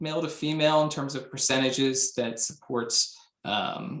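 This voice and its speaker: This is a man speaking with a fairly high pitch. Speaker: software tutorial presenter. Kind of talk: tutorial. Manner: fast; hesitant, many fillers.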